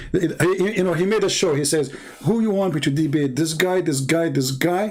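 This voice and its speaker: A man speaks with an Arabic accent. His pace is moderate, with ordinary pitch variation. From Middle East. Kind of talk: live debate talk.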